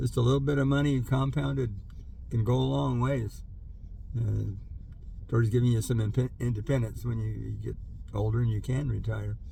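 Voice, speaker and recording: Amid audible room echo, a man speaks at a moderate pace broken by long, frequent pauses. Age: 70s. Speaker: vlogger, older worker reflecting on career. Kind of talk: casual monologue vlog. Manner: hesitant, many fillers.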